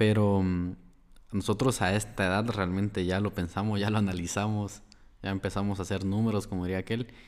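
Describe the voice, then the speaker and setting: The recording is very clean, the background silent. A man talks at a fairly quick pace in a monotone, flat intonation. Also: fairly low pitch for a man. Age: 20s. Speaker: podcast co-host. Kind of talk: casual chat.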